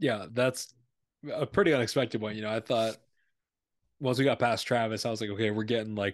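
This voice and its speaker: Against a quiet background, a man uses a normal speaking voice at a fairly quick pace with fairly even intonation. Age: 20s. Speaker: podcast host. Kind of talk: casual chat. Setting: video call.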